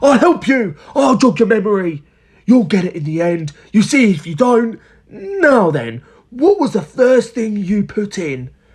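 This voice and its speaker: Someone uses a put-on character voice with a fairly high pitch, talking at a moderate pace. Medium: read story. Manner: excited, exclaiming.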